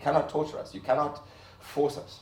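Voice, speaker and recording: The man's delivery moves at a fairly quick pace. The room adds audible echo. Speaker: artist. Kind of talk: lecture.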